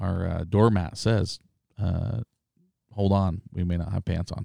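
A man at a fairly slow pace. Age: 40s. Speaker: podcast host, sales rep company owner. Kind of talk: casual chat. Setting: studio. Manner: animated.

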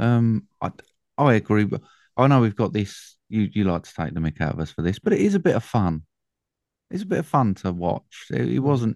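A man talks at a fairly quick pace with an English accent. His intonation is lively, and the background is quiet. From England. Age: 40s. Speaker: film podcast host. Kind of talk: casual chat.

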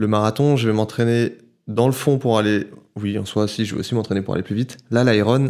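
Fairly quick and with fairly even intonation, a plain, everyday voice comes through on a very clean recording with a silent background. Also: man, fairly low pitch for a man. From Paris, France. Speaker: photographer and filmmaker. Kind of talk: casual chat. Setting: at the guest's home.

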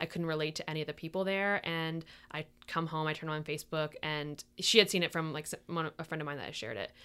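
The woman's pitch is very deep and low, and her intonation fairly even. She speaks at a fairly quick pace on a very clean recording with a silent background. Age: 30s. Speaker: YouTuber and photographer. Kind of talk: casual interview about grief. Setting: makeshift studio.

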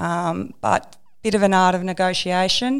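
Someone with an Australian accent is heard on a very clean recording with a silent background. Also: woman. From Australia, Melbourne. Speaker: construction manager. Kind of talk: interview.

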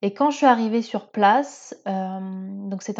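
A woman's dark, mellow voice at medium pitch against a quiet background. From France, Seine-et-Marne (Paris region). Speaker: podcast host. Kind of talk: personal monologue. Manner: hesitant, many fillers.

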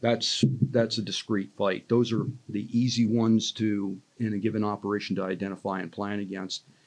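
At a moderate pace, a man speaks with monotone, flat intonation and a fairly low pitch. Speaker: retired army general, training mentor. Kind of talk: interview podcast.

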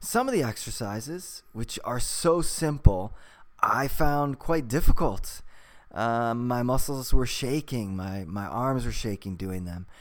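This man has an ordinary speaking voice at a medium pitch, talking at a fairly slow pace. His intonation is lively and his loudness swings widely. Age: 40s. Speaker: podcast host, weightlifter and English teacher. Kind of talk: casual interview.

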